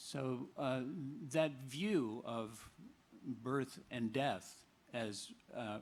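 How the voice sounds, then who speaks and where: A man's very slow delivery with long, frequent pauses, ordinary pitch variation and audible room echo. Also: medium pitch for a man. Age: 70s. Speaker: memoir coauthor. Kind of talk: book talk conversation. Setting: outdoor stage with audience. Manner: halting, many fillers.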